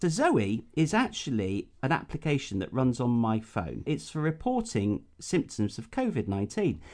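Speaking at a moderate pace with an English accent, a man hardly pauses. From UK, rural agricultural background. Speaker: podcast co-host. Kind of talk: casual chat.

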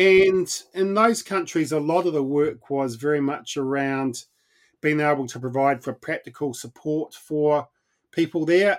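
Talking at a fairly slow pace with a New Zealand accent, a man uses a fairly high pitch and ordinary pitch variation. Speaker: mission organization leader, former pastor. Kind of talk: interview.

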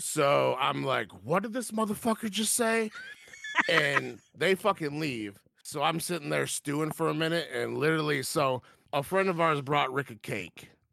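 In an unremarkable speaking voice, a man with an American accent talks at a moderate pace, his fairly high pitch carrying lively intonation. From Mexican heritage, Michigan. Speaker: guest. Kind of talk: casual chat. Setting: pub.

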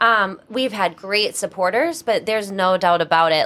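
With a Boston accent, a woman talks at a moderate pace in a bright, sharp tone. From Massachusetts, North Attleboro (Boston area). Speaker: ice cream company co-founder, former nurse. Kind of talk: interview.

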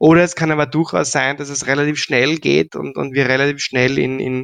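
A man talks with ordinary rises and falls in pitch, the background quiet. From Austria, Graz. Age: 40s. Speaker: payment entrepreneur and business angel. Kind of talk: interview. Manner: halting, many fillers and repetitions.

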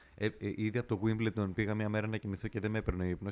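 A man talks very fast in a monotone, flat intonation. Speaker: tennis podcast host. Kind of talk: casual chat.

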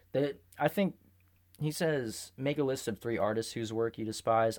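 A man talks at a moderate pace in an ordinary speaking voice. The recording is very clean, with a silent background. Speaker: podcast host and artist. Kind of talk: casual chat. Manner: joking, playful.

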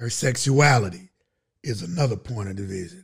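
A man's somewhat breathy voice at a fairly slow pace, with very wide pitch swings, on a very clean recording with a silent background. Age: 50s. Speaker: podcast co-host. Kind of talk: casual chat.

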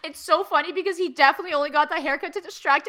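Speaking very fast in a raised, projected voice, a woman with a Canadian accent has a bright, sharp tone. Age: 20s. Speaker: podcaster and graduate student. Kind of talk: casual chat. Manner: loud.

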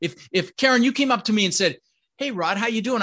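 A man's raised, projected voice, high-pitched, with a bright, sharp tone and ordinary pitch variation. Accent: American. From Colorado. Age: 60s. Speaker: real estate investor. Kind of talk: interview.

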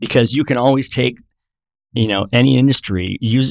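A man speaks with ordinary pitch variation. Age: 50s. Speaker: author and entrepreneur. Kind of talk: casual chat.

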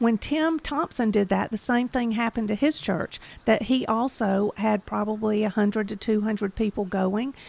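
With a Southern US accent, a woman speaks at a moderate pace in a fairly high pitch, using ordinary pitch variation and hardly any pauses. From Georgia, US South. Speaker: podcast producer. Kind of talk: casual chat.

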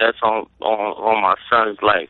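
A man with an American accent. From Brooklyn, New York. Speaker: rapper guest. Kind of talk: casual interview chat.

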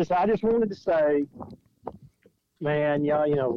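Here a man speaks in an Alabama accent. His voice sits at a fairly high pitch. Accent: Alabama Southern. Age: 40s. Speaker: caller, fan phoning into a podcast. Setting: phone. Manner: joking, teasing.

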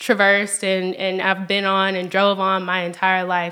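A woman with a Memphis accent speaks at a moderate pace and medium pitch. Her tone is bright and sharp, and her intonation is monotone and flat. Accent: Southern US (Memphis). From US South, Memphis, Tennessee. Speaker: nonprofit research specialist. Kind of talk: casual interview.

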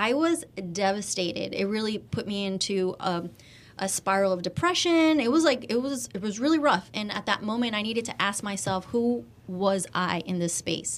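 This is a plain, everyday voice. It moves along at a fairly quick pace. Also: woman. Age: 30s. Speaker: media host and brand strategist. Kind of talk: casual interview. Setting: studio.

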